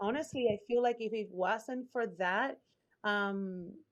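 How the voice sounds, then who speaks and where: Speaking with a Puerto Rican accent, a woman uses a fairly high pitch, ordinary pitch variation and a fairly slow pace. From Puerto Rico. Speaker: branding strategist, former lawyer. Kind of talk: podcast interview answer. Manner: open, authentic.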